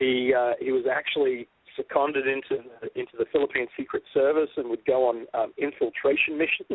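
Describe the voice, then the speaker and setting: This man has an Australian accent. He talks rather quickly. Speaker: documentary filmmaker. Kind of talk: casual interview. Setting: radio show. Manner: loud.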